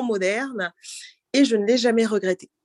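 A woman with an ordinary speaking voice talks in a medium pitch with ordinary pitch variation, in a dry, close sound with no echo. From France, Normandy (Cameroonian heritage). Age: young. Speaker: bank deputy director. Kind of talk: casual interview. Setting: video call.

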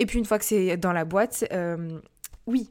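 A woman speaks at a fairly quick pace. Her pitch is medium and her intonation fairly even. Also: very clean recording, silent background. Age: 20s. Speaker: podcast host. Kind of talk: casual Q&A monologue. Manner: hesitant with many fillers.

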